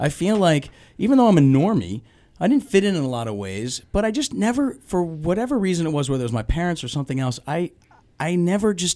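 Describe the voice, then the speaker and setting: Very wide pitch swings mark this man's dark, mellow tone as he speaks at a very fast pace. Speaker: guest. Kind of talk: interview answer. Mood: reflective, candid. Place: studio. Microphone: studio mic.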